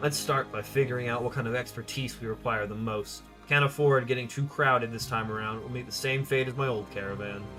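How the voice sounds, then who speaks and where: A gravelly, put-on character voice from a man, medium in pitch, delivered at a fairly quick pace with hardly any pauses, clear music playing in the background. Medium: game stream. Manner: matter-of-fact, terse.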